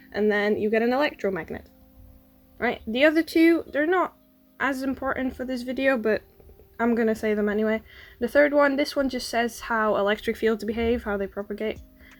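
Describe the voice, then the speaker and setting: With music in the background, a woman talks using ordinary pitch variation. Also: fairly high pitch for a woman, fairly quick pace. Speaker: science YouTuber. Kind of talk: educational explainer, unscripted. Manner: quiet, trying to speak louder.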